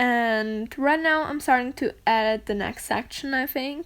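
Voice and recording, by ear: Her fairly high-pitched voice is clear and smooth, with a fairly bright tone and ordinary pitch variation. The woman speaks at a fairly slow pace.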